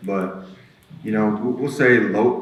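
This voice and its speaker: A man's fairly low voice amid noticeable background noise and audible room echo. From Alaska, East Anchorage. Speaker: person in addiction recovery sharing life story. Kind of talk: testimony.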